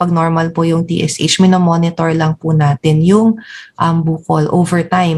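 A woman with an unremarkable speaking voice and a fairly low pitch. She talks at a moderate pace. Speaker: endocrinologist. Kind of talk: medical interview. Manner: polite, formal.

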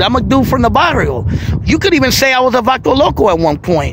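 A man with an American accent at a moderate pace, dry sound with no echo and noticeable background noise. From East Oakland, California; California. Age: 40s. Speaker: YouTuber. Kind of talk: personal testimony monologue. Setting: outdoors by the waterfront. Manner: casual, street slang. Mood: emotional, earnest, reflective. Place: waterside. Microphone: phone near.

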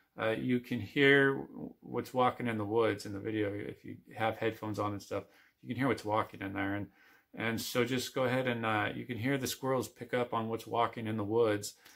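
A man speaks fairly quickly, with a quiet background behind him. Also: fairly even intonation. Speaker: outdoor vlogger. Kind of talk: casual vlog chat. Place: home room. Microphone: phone near.

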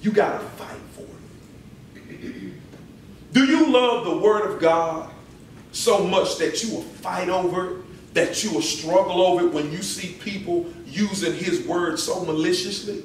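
Recorded with audible room echo and light background noise, a man speaks with big swings in loudness. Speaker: visiting preacher. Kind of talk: sermon. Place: church. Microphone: podium.

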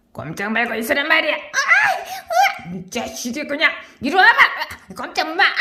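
This is a put-on character voice with a high pitch. It moves at a moderate pace with long, frequent pauses. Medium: role play. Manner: gruff, domineering.

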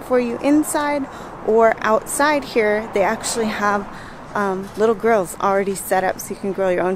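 Over noticeable background noise, a woman speaks at a moderate pace in a dry sound with no echo. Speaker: food vlogger. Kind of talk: casual vlog chat. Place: street. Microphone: phone near.

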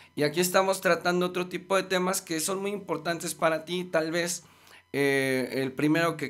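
A man speaks with a Mexico City accent. His pitch sits fairly high. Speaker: musician and life coach; life coach. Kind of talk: casual chat. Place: studio. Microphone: studio mic.

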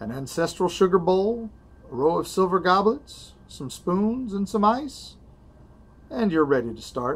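Speaking slowly with an American accent, a man shows very wide pitch swings and big swings in loudness. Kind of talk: historical letter reading. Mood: calm, savoring. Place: shop. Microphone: phone near.

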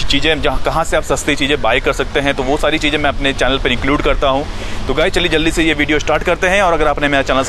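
A man talks at a fairly quick pace with hardly any pauses, his loudness very even and his intonation fairly even. The sound is dry with no echo, though background noise is noticeable. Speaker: gardening channel host. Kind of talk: casual vlog intro. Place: garden. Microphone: phone near.

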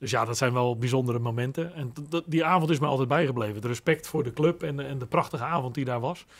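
Very fast talking with ordinary pitch variation. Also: man, medium pitch for a man. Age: 50s. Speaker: son of a former footballer; guest. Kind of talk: interview. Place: studio. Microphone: studio mic.

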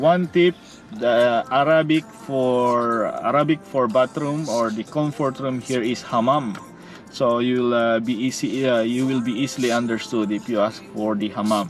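Faint music sits in the background of a dry sound with no echo. A man speaks at a moderate pace with ordinary pitch variation. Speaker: travel vlogger. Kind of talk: casual vlog chat. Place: car. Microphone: phone near.

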